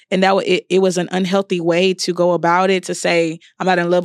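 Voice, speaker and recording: At a fairly quick pace, a woman talks with a fairly low pitch. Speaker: podcast co-host.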